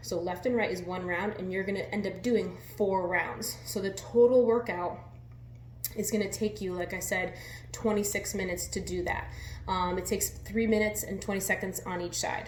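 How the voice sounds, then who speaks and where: A woman whispers quietly in a room with audible echo and noticeable background noise. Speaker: fitness coach. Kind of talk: workout tutorial. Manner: quiet, near whisper.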